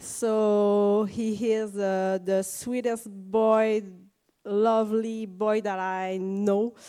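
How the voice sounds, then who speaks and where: A woman speaks with a Quebec accent. Her voice sits fairly high and has a dark, mellow tone. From Quebec, Canada. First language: French. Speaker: parent of child with rare syndrome. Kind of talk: conference panel testimony. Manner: halting.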